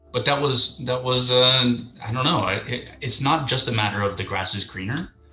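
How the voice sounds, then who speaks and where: Over music in the background, a man of medium pitch talks at a moderate pace with ordinary pitch variation. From US West Coast, San Francisco Bay Area. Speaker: real estate agent, interview guest. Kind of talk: casual interview chat. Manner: halting, many fillers.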